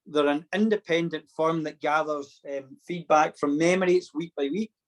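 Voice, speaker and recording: A man with a Scottish accent at a fairly high pitch and moderate pace, fairly even intonation, in dry, close sound with no echo. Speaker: programme facilitator. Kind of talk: online induction session.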